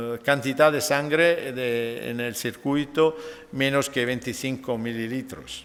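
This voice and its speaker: Speaking at a fairly slow pace with an Italian accent, a man shows ordinary pitch variation. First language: Italian (speaking Spanish). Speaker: nephrologist. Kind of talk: lecture. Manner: halting.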